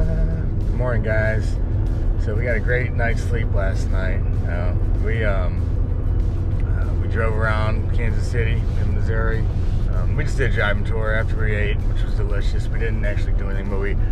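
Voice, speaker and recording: Loud music plays behind a man whose voice sounds dry, with no echo. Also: moderate pace. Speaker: road trip vlogger. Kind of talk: casual vlog chat. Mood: relaxed, upbeat. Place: car. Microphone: phone near.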